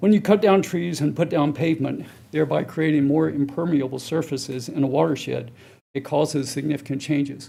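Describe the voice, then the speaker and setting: A man with an American accent talks at a fairly quick pace, his pitch fairly high and his tone dark and mellow. There is vocal fry, and his intonation stays fairly even. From US South, Chapel Hill, North Carolina. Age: 60s. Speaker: public commenter. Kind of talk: public comment.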